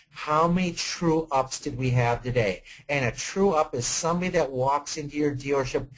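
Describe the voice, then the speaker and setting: A man's somewhat breathy, fairly high voice carries ordinary pitch variation. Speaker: automotive sales consultant. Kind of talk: webinar Q&A answer. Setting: online webinar. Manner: fast.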